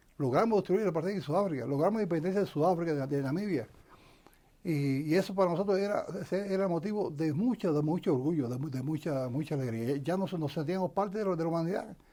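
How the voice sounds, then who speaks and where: Talking at a very fast pace, a man with a high pitch and a dark, mellow tone uses ordinary pitch variation. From Cuba, Camagüey. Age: 60s. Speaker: retired army colonel and former political prisoner. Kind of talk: interview testimony. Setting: studio. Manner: halting, many repetitions and false starts.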